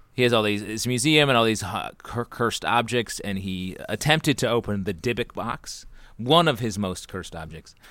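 A man's normal speaking voice with an American accent, medium in pitch, at a moderate pace with ordinary pitch variation, on a very clean recording with a silent background. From upstate New York. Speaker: improv actor. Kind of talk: casual chat.

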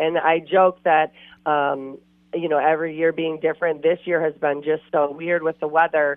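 A woman's very deep, low pitch with an Upper Midwest accent. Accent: Upper Midwest American. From Wisconsin. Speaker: outdoor TV show host. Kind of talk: casual interview. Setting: phone call.

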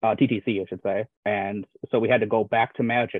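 This man has an unremarkable speaking voice at a medium pitch and talks at a fairly quick pace. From Wisconsin. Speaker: guest. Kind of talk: casual chat.

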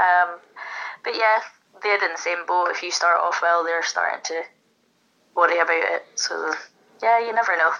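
Fairly low-pitched woman in a Scottish accent, bright and sharp in tone, with fairly even intonation, a moderate pace and long, frequent pauses. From Scotland. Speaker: darts player. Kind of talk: casual interview.

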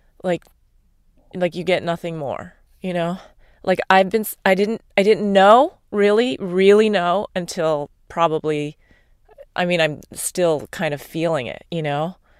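A woman speaks in a normal speaking voice, fairly low-pitched, with ordinary pitch variation and a fairly slow pace. The sound is dry and close, with no echo. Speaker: core energetics practitioner. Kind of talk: casual chat.

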